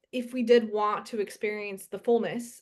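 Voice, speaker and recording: The woman's pitch is fairly high. Her tone is animated. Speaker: podcast host. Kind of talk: casual podcast conversation. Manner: fast.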